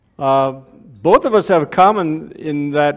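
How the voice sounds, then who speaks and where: Lively intonation from a man with a Canadian accent. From Canada (Waterloo, Ontario). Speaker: ministry speaker. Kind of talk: sermon. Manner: halting.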